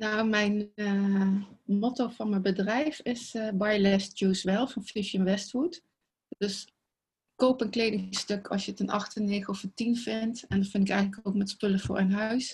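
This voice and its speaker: At a fairly slow pace, a woman speaks in a somewhat breathy voice. Her pitch is medium and her intonation fairly even. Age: 60s. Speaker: clothing style advisor. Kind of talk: casual interview.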